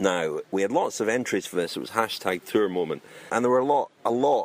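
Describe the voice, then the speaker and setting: With a Scottish accent, a man speaks at a fairly quick pace. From Scotland. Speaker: cycling podcast host. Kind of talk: casual chat.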